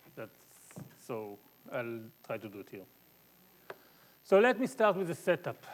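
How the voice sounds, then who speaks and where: At a moderate pace, a man speaks in an Israeli accent. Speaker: mathematics professor. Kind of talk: lecture. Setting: conference talk with audience. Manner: halting, many fillers.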